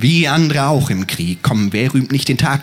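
Over noticeable background noise, a man with a fairly high pitch speaks in a theatrical, dramatic tone. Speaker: poetry slammer. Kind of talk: spoken word poetry, rhymed verse performance. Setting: stage with audience, outdoors at university festival. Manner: theatrical, rhythmic, dramatic delivery.

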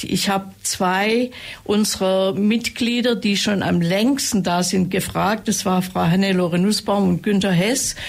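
This woman has a medium-pitched, somewhat breathy voice with ordinary pitch variation and very even loudness. She speaks at a fairly slow pace with hardly any pauses. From Ravensburg, Upper Swabia, Germany. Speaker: author. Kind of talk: interview chat.

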